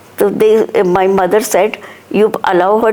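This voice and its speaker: A woman at medium pitch and moderate pace, with fairly even intonation and noticeable background noise. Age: 60s. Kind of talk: interview.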